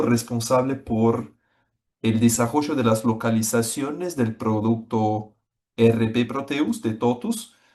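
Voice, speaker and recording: With a Brazilian accent, a man speaks very slowly at medium pitch, keeping his intonation fairly even. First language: Portuguese (speaking Spanish). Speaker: software executive presenting a webinar. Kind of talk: webinar presentation. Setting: online webinar. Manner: hesitant, with frequent fillers.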